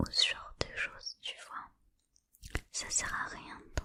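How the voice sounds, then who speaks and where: A woman's whisper at a very slow pace. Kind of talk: ASMR motivational talk. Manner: whispered; casual, encouraging.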